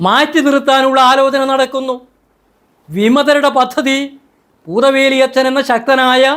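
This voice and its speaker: A man speaks at an extremely high pitch. His intonation is fairly even. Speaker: church affairs commentator. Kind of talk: video commentary monologue.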